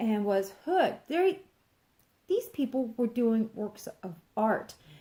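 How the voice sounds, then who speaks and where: A woman's pitch swings very widely while she talks fairly slowly. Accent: Texan. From Texas. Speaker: crafts vlogger. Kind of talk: casual chat.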